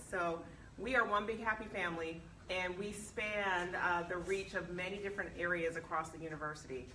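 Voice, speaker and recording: A woman talks at a fairly quick pace in a medium pitch, her pitch moving in an ordinary way. There is noticeable background noise and audible room echo. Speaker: university vice president. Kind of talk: speech at alumni meeting. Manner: loud.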